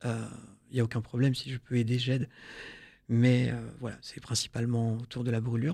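Dark, mellow male speech at a moderate pace, broken by long, frequent pauses, on a very clean recording with a silent background. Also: medium pitch for a man. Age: 30s. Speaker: burn survivor and prevention speaker. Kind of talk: testimony. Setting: studio. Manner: hesitant.

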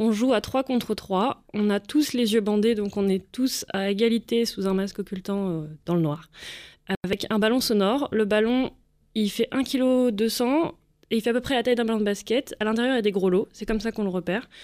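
At a moderate pace, a woman with an unremarkable speaking voice talks at a fairly high pitch with ordinary pitch variation, in a very clean recording with a silent background. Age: 20s. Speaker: visually impaired goalball athlete. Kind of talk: radio interview.

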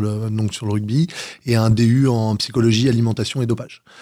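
A man's dark, mellow, medium-pitched voice in a very clean recording with a silent background. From Paris region, France. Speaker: paratriathlete. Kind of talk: radio interview. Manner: energetic.

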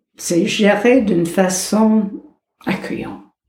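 A woman with a medium-pitched voice speaks at a very slow pace, with audible room echo. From United States. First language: English (speaking French). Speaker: psychologist. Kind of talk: interview.

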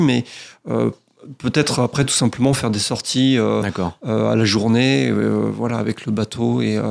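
A man speaking at a very slow pace. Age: 40s. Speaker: professional sailor and skipper. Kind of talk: radio interview. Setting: radio studio.

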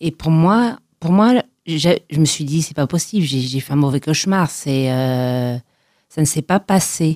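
With a very deep, low pitch, a woman speaks at a very slow pace and lively intonation in a dry, close sound with no echo. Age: 40s. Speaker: testimony guest on mental health. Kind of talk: personal testimony. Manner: halting.

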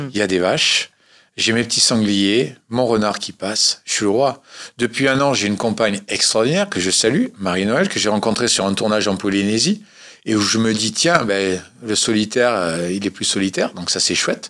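Here a man has an ordinary speaking voice with a fairly low pitch and ordinary pitch variation. He speaks at a moderate pace in a very clean recording with a silent background. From Corsica. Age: 50s. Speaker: adventurer and motivational speaker. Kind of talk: radio interview.

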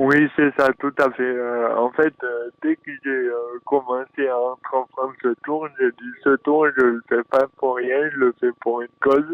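A man with a southern French accent speaks in a monotone, flat intonation at a very slow pace and medium pitch. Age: 20s. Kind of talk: interview. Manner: halting.

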